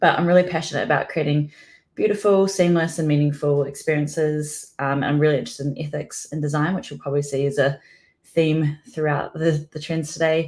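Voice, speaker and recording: At a fairly quick pace, a woman with a slight New Zealand accent speaks in a very deep, low voice with fairly even intonation, on a very clean recording with a silent background. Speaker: product designer. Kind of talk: conference talk.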